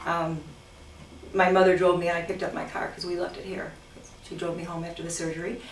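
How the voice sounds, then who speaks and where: With audible room echo and noticeable background noise, a woman of medium pitch speaks at a fairly quick pace. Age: 60s. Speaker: cosmetic surgery patient giving testimonial. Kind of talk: testimonial interview. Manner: animated.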